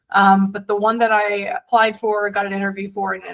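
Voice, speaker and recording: A woman speaks with an American accent. Her pitch is fairly high and her pace moderate. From US South, South Georgia. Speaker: venture capitalist. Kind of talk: podcast interview. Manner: many fillers and restarts.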